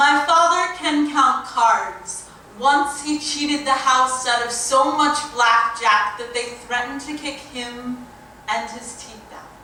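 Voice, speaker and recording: A woman projects a raised voice at a high pitch and a very slow pace, with big swings in loudness. Her pitch variation is ordinary, and there is noticeable background noise. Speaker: poet. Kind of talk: spoken word poetry performance. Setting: live stage.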